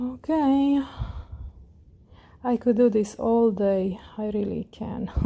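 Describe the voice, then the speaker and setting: A woman with a fairly high pitch speaks very slowly with long, frequent pauses, in a dark, mellow, calm, relaxed tone. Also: ordinary pitch variation. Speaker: crochet tutorial creator. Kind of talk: tutorial.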